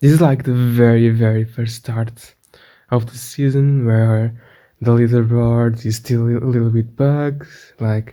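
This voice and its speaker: A man speaks at a medium pitch with a dark, mellow tone. His intonation stays monotone and flat. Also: fairly slow pace. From Portugal. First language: Portuguese. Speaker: gaming youtuber. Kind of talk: gameplay commentary. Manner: halting, many repetitions.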